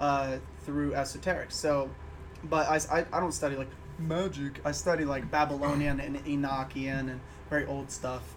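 A man with an American accent and a fairly high pitch talks at a moderate pace in monotone, flat intonation, with audible room echo. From Illinois. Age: 20s. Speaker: musician. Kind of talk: casual chat.

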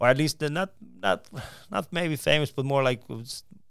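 This man has an ordinary speaking voice with ordinary pitch variation, talking at a moderate pace on a very clean recording with a silent background. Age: 40s. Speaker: stand-up comedian. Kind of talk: interview.

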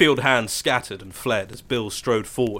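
The clip is plain reading aloud. That is all it offers.

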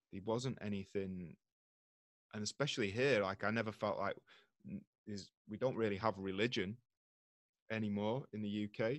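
A man speaks with a slight British accent, leaving long, frequent pauses. The sound is dry and close, with no echo. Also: fairly low pitch for a man, moderate pace. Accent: British English, slight regional. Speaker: yoga teacher and author. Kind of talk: casual interview chat. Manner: animated, ranting.

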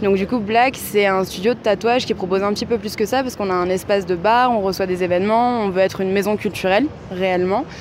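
A woman talks at a very fast pace with fairly even intonation and a medium pitch. Noticeable background noise runs behind her. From France, Paris. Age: 20s. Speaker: bar and tattoo studio owner. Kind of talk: interview.

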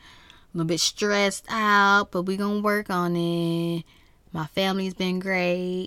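In a very clean recording with a silent background, a woman speaks with fairly even intonation. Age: 20s. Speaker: solo podcast host. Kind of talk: casual monologue. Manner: high-energy.

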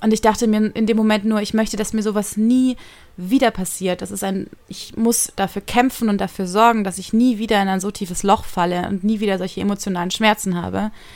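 Her intonation is monotone and flat as a woman speaks at a fairly quick pace. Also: medium pitch for a woman. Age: 20s. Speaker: podcaster. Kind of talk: personal monologue. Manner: fast.

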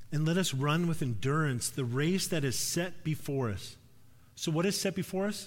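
A man with a fairly high-pitched voice speaks in a space with audible room echo. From Alberta, Canada (near Edmonton). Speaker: preacher. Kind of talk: sermon. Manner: casual, conversational.

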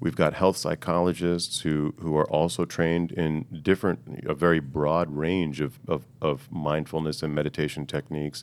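A man with a very deep, low voice speaks in a calm tone with fairly even intonation. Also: very clean recording, silent background. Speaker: integrative medicine doctor. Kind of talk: interview answering questions. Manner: calm, Zen-like.

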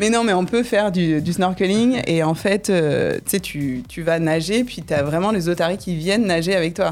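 A woman with an ordinary speaking voice talks at a moderate pace, her pitch fairly low with ordinary pitch variation. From southern France, Nîmes. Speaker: tour guide and business owner. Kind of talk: radio interview. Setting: radio studio.

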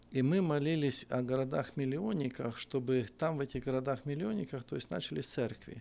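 Here is a man with an ordinary speaking voice at a medium pitch, moving at a moderate pace. His pitch varies in an ordinary way over a quiet background. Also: hardly any pauses. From western Ukraine. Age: 50s. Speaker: bishop and pastor. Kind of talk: casual interview chat.

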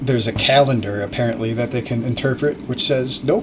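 A man speaks at medium pitch, with noticeable background noise behind him. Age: 30s. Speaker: podcast guest, improv comedian. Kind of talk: casual chat.

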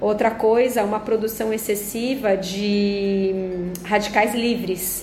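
A woman speaks very slowly at a fairly high pitch, with monotone, flat intonation. Noticeable background noise and audible room echo fill the recording. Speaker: nutritionist podcast host. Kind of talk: health explainer monologue. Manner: conversational with filler words.

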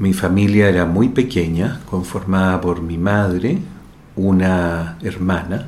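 A man with a very deep, low pitch speaks at a very slow pace and fairly even intonation. Audible room echo and noticeable background noise fill the recording. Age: 60s. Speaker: neurosurgeon. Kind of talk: interview testimony.

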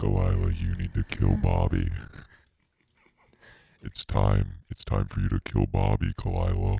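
A man speaks at a moderate pace in a put-on character voice with a very deep, low pitch. He leaves long, frequent pauses. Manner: menacing, urging.

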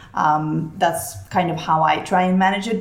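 This woman speaks at a moderate pace with a fairly low pitch, ordinary pitch variation and an American accent, with audible room echo and noticeable background noise. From Barcelona, Spain (American mother). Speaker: food business founder. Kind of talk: interview.

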